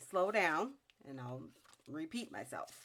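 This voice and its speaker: A woman speaks at a very deep, low pitch with vocal fry. Her pitch swings very widely. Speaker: crafter. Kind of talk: tutorial. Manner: halting.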